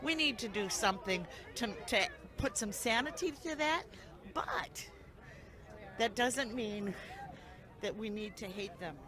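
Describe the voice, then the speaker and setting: Amid crowd noise and audible room echo, a woman with an American accent speaks at a fairly slow pace, leaving long, frequent pauses. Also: lively intonation. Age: 70s. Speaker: protester at a political rally. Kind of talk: street interview. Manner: halting.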